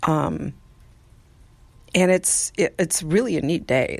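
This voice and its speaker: Soft-spoken, a woman talks fairly slowly at a very deep, low pitch. Her voice carries vocal fry and ordinary pitch variation. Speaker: podcast host. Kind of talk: casual monologue. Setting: outdoors on porch.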